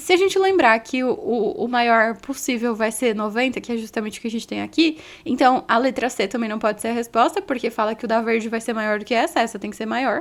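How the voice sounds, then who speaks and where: A woman's fairly quick, fairly high-pitched voice with lively intonation and hardly any pauses, in a very clean recording with a silent background. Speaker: physics teacher. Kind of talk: tutorial. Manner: fast.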